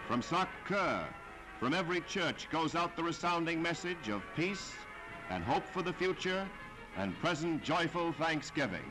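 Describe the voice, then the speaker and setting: A man's high voice at a moderate pace, with ordinary pitch variation and very even loudness, over music in the background. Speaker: newsreel announcer. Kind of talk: wartime newsreel narration.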